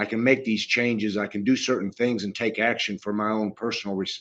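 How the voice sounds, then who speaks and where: A man with a plain, everyday voice, medium in pitch, fairly even in intonation, at a moderate pace, against a quiet background. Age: 60s. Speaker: retired firefighter. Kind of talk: casual chat.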